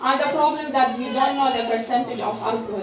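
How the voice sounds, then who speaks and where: With an Arabic accent and fairly even intonation, a woman speaks over noticeable background noise with audible room echo. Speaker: pharmacist, food safety speaker. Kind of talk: lecture. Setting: mosque conference with audience. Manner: halting, many hesitations.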